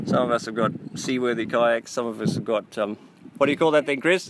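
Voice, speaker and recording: Someone with an Australian accent speaks fairly quickly with lively intonation. Noticeable background noise can be heard. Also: man. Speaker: podcast host. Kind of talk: casual chat.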